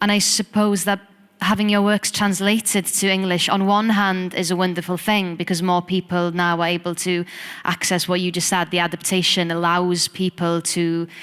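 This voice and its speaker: A woman speaks in a Welsh accent at a moderate pace and medium pitch. Her intonation is monotone and flat, and her loudness stays very even. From Wales. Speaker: poet and singer. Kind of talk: interview conversation.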